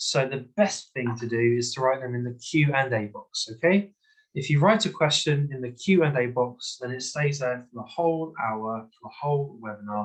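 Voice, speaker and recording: With a London accent, a man talks at a moderate pace and medium pitch, his loudness swinging widely while his pitch varies in an ordinary way. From London, England. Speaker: English teacher. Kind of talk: online webinar lecture. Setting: video call.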